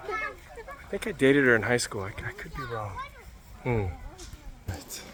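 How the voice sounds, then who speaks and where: A man at a fairly slow pace, big swings in loudness, and noticeable background noise. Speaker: travel vlogger. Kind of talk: casual vlog narration.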